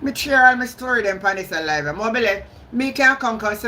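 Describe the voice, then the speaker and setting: A woman with a fairly high pitch speaks in a strong Jamaican accent against noticeable background noise. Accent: Jamaican, heavy patois. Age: 60s. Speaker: YouTube live streamer, political commentator. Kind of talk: live stream commentary. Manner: animated, combative.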